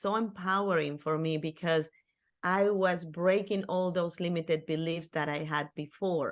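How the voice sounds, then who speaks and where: A woman with a Spanish accent, fairly low pitch, fairly even intonation and a fairly slow pace, against a quiet background. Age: 50s. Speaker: author and life coach. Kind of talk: interview podcast.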